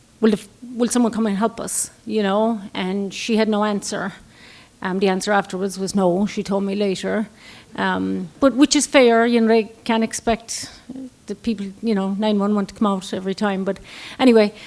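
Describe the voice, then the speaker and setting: Her intonation fairly even, a woman talks at a moderate pace with a medium pitch. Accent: Irish. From Ireland. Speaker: storyteller. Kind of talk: storytelling.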